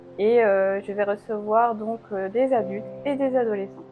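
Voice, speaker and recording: Over music in the background, a woman talks at a fairly high pitch with fairly even intonation. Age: 40s. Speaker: alternative therapist. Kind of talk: interview. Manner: hesitant, many filler sounds.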